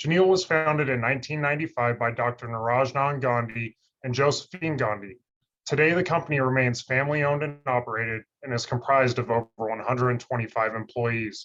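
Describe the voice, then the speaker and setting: A man talks at a fairly quick pace and medium pitch. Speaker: research scientist. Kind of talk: webinar presentation. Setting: online webinar. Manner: monotone.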